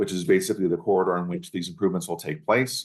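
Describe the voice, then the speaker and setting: Ordinary pitch variation in a man's speech. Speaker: library director. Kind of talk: pitch presentation. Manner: fast.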